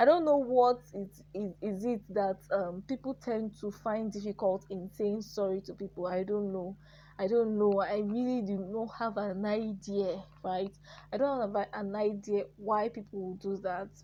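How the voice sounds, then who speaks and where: A woman with a medium pitch and a dark, mellow tone speaks fairly slowly with fairly even intonation. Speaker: YouTuber. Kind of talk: casual vlog talk.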